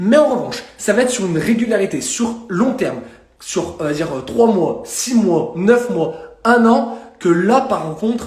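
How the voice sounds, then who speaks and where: A man's lively intonation comes through with audible room echo and noticeable background noise. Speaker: fitness and nutrition coach. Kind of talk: live stream talk. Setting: live stream. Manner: fast.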